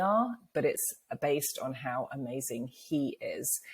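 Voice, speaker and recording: With a British accent, a woman speaks at a very slow pace in a very deep, low pitch. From England. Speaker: author and speaker, cancer survivor. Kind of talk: interview.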